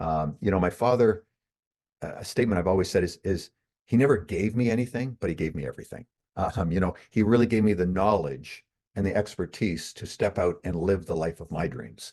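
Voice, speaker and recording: A man's very deep, low voice with a dark, mellow tone, fairly quick pace and a quiet background. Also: ordinary pitch variation. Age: 60s. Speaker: author and marketer. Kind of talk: interview. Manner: halting.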